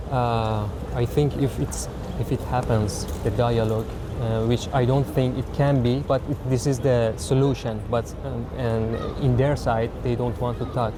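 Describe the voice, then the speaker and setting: The voice carries a Persian accent and fairly even intonation. Noticeable background noise and audible room echo are present. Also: man, medium pitch for a man, moderate pace. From Iran. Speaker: asylum seeker interviewee. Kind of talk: street interview. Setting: outdoors. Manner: halting, many fillers.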